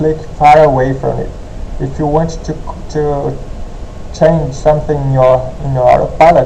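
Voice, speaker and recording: With a non-native accent, the speaker talks very slowly amid audible room echo and noticeable background noise. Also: man. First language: not English. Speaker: gaming tutorial youtuber. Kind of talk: tutorial. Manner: halting.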